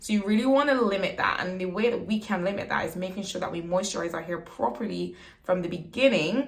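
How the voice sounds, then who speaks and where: A woman speaks with audible room echo. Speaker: beauty vlogger. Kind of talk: tutorial. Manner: casual and chatty.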